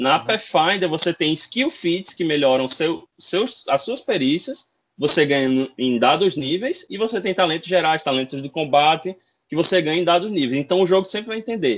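On a very clean recording with a silent background, a man speaks in a high pitch with lively intonation. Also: moderate pace. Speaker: RPG translator. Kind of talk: casual chat.

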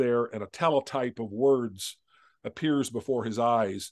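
Using an American accent, a man speaks at a moderate pace with ordinary pitch variation. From Southern California. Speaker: author; interview guest. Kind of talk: interview. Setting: video call. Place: home room.

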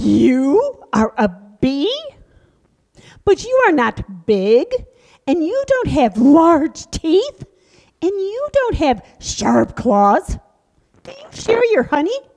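A woman's cartoonish character voice at an extremely high pitch, very slow pace and long, frequent pauses. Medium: puppet show. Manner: silly, dramatic, easily fooled.

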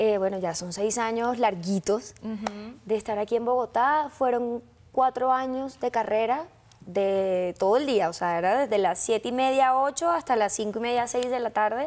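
A woman's fairly high voice in a Colombian coastal accent. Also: ordinary pitch variation, moderate pace. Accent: Colombian coastal (costeño). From Colombian Caribbean coast, Sincelejo. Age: 20s. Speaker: actress. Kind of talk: interview. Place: studio. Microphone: lapel.

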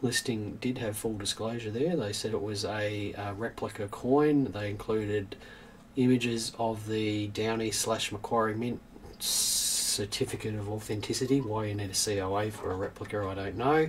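Over light background noise, a man with a normal speaking voice talks at a moderate pace and a fairly low pitch with fairly even intonation. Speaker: coin dealer hosting a news stream. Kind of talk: casual livestream commentary. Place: shop.

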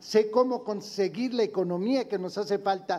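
A man's high-pitched voice, dark and mellow in tone, at a moderate pace with fairly even intonation. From Puebla, Mexico. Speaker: political candidate. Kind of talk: debate. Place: studio. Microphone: podium.

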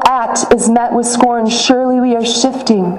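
A woman's high-pitched voice at a fairly slow pace, fairly even in intonation, with audible room echo. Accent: American. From Michigan, USA. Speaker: spoken word poet and activist. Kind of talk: spoken word poetry performance. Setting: outdoors, rally at a state capitol. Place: street. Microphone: podium.

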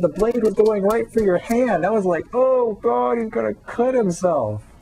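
A man with an American accent speaks at a moderate pace. His pitch swings very widely, and there is noticeable background noise. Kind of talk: casual video response talk to camera.

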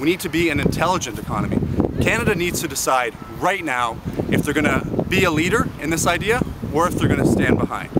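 Over loud background noise, a man with a high pitch talks at a very fast pace in a dry sound with no echo. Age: 20s. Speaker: student union president. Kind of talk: political campaign pitch to camera. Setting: outdoors. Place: open country. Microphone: phone near.

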